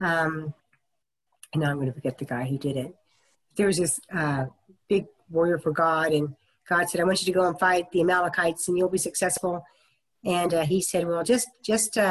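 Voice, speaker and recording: Here a woman with an American accent speaks at a moderate pace and fairly low pitch. Her pitch variation is ordinary, and her pauses are long and frequent. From US Midwest, Topeka, Kansas. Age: 50s. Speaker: minister. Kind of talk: oral history interview.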